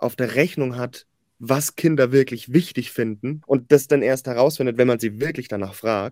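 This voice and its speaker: Heard in a very clean recording with a silent background, a man with a normal speaking voice and medium pitch speaks at a moderate pace with ordinary pitch variation. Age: 20s. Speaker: podcast host. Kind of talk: podcast narration.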